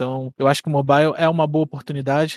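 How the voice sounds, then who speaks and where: A man's fairly high-pitched voice at a very fast pace, dry and close with no echo. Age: 20s. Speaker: game developer and podcast co-host. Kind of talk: casual chat. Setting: live stream.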